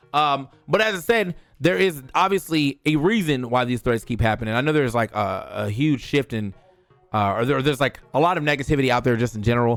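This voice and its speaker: Over music in the background, a man with an American accent talks at a fairly quick pace with an animated tone, lively intonation and a fairly high pitch. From US Mid-Atlantic (DC/Maryland/Virginia). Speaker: esports commentator and streamer. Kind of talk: casual vlog monologue. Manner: casual, animated.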